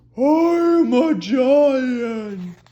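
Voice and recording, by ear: A female-sounding voice does a put-on character voice at a high pitch.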